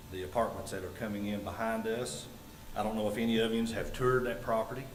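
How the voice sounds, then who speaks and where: The speech comes at a very fast pace with fairly even intonation, over noticeable background noise and audible room echo. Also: man, medium pitch for a man. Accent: Appalachian. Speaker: resident speaking at public comment. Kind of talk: public comment at council meeting. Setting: town council meeting room. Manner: loud; halting.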